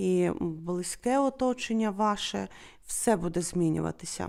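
In a very clean recording with a silent background, a woman speaks at a very slow pace in a dark, mellow tone. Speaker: wax-casting fortune teller. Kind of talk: fortune-telling video monologue.

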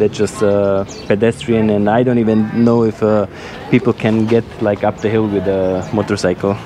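A man speaks at a moderate pace as noticeable background noise plays behind him. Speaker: travel vlogger. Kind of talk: casual vlog chat. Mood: cheerful, relaxed. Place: street. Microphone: phone near.

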